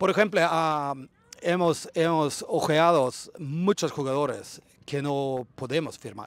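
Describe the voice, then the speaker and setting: In a Swedish accent, a man speaks very slowly at a fairly high pitch with ordinary pitch variation, in a dry sound with no echo. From Sweden. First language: Swedish (speaking Spanish). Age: 40s. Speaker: football club shareholder, businessman; interviewee. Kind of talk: interview. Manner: halting, many fillers. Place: open country. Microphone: handheld.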